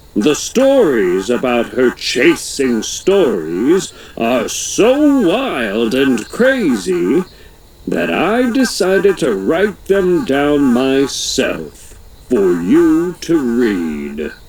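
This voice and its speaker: Using a put-on character voice, a man speaks at a fairly high pitch. He goes at a very slow pace. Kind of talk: tall tale. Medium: read story. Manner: folksy, chatty, tall-tale telling.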